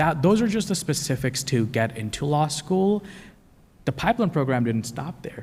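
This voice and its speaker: A man's somewhat breathy, fairly high voice, at a moderate pace, with very wide pitch swings. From Pakistan. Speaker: law student. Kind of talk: panel discussion.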